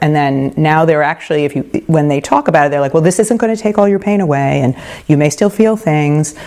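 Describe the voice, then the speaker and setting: A woman's very deep, low voice, dark and mellow in tone, at a very fast pace with ordinary pitch variation. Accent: New York. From New York. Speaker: midwife. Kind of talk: lecture. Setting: home talk group.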